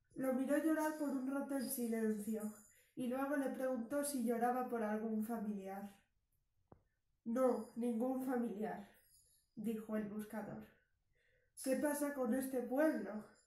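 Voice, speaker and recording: In a room with audible echo, a woman with a high pitch and a dark, mellow tone speaks at a very slow pace with fairly even intonation and long, frequent pauses. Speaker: storyteller. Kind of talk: story reading. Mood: calm, reflective narration. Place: home room. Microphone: camera far.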